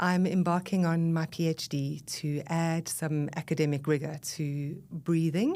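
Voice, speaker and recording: With a South African accent, the speaker talks at a fairly slow pace with hardly any pauses, in a dark, mellow tone and monotone, flat intonation, in a very clean recording with a silent background. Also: woman, fairly low pitch for a woman. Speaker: breath leadership expert and voice coach. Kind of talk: podcast interview. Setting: podcast recording.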